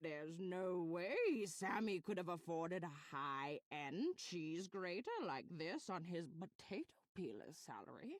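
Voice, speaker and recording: A put-on character voice sits at a middle pitch. It moves at a fairly slow pace with hardly any pauses. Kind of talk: comic overacting. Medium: game stream. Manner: melodramatic, old-fashioned, says dearie.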